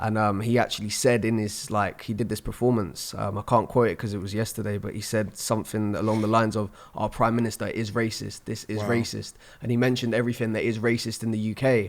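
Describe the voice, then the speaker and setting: In a London accent, a man rattles off words at a very fast pace with hardly any pauses, his fairly low pitch held in monotone, flat intonation. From London, England. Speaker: spoken word poet. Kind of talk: podcast interview answer.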